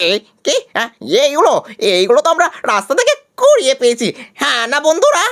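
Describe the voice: A put-on character voice at a fairly quick pace. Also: man, extremely high pitch for a man.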